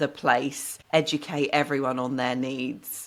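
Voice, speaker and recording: A woman speaks with a very deep, low pitch and a British accent. The recording is very clean, the background silent. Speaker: broadcaster, comedian and author. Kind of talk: interview answer.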